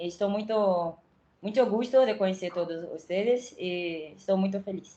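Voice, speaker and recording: In a Brazilian accent, a woman with a dark, mellow tone speaks at a fairly slow pace. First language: Portuguese (speaking Spanish). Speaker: doctoral student. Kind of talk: self-introduction in online workshop. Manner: halting.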